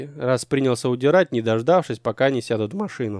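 With lively intonation, the words come in a natural reading voice.

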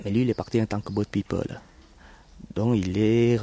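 This is a man with a fairly low-pitched voice. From Vietnam. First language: Vietnamese (speaking French). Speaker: Vietnamese immigrant. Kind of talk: interview. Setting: outdoors in a garden. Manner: halting.

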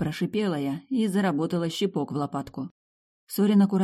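A natural voice reading aloud, the background quiet.

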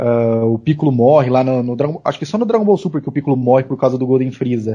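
Somewhat breathy, a man speaks in a dark, mellow tone at a fairly high pitch with ordinary variation. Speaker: podcast co-host. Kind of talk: casual chat.

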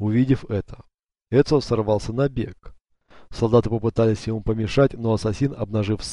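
Reading aloud in a natural voice takes place over a quiet background.

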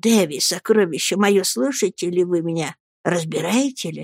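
A woman whispers quietly in a put-on character voice with vocal fry. The sound is dry and close with no echo, on a very clean recording with a silent background. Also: moderate pace.

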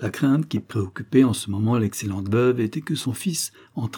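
A natural reading voice whose pitch shifts in an ordinary way

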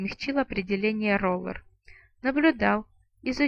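Lively intonation marks the delivery. The reading voice sounds unforced.

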